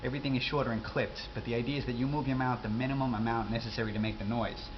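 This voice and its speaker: A man with an American accent speaks at a very fast pace and medium pitch with fairly even intonation, over noticeable background noise. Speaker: accent teacher. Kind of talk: casual accent tutorial to camera. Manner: casual, rambling.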